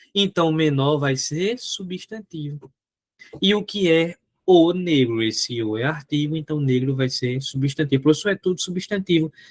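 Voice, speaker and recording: Fairly high in pitch, a man speaks at a fairly slow pace with ordinary pitch variation. The sound is dry and close, with no echo. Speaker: teacher. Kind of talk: lecture. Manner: animated.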